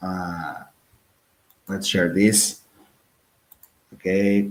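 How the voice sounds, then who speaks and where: Very slowly, a man speaks with a Portuguese accent. His pitch is very deep and low, and audible room echo is present. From northern Portugal (Porto). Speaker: podcast host. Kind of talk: casual chat. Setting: live stream.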